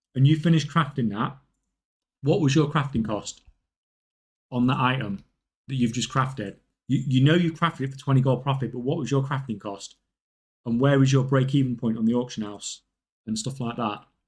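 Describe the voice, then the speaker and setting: A somewhat breathy man at a fairly quick pace, broken by long, frequent pauses. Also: medium pitch for a man, ordinary pitch variation. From northern England. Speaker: gaming live streamer. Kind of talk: casual live stream chat while gaming. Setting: live stream.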